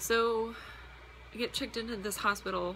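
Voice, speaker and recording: Audible room echo surrounds this woman as she talks. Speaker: vlogger and roller derby player. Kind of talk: casual vlog chat. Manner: fast.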